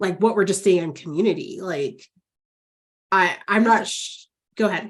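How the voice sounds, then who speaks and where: A woman speaks at a moderate pace in a plain, everyday voice. Her pitch is medium, with ordinary variation. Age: 40s. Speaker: counselor educator, podcast host. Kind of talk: podcast interview. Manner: casual, filler-heavy.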